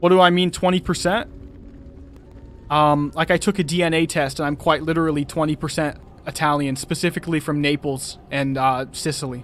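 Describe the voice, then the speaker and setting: Fairly even intonation marks a plain, everyday voice. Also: man, fairly high pitch for a man, fairly quick pace. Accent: American. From United States. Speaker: gaming streamer. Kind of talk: live stream chat. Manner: casual.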